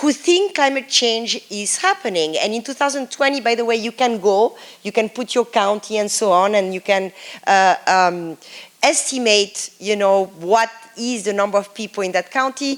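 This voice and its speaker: A woman's voice with lively intonation and a French accent. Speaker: professor. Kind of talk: lecture.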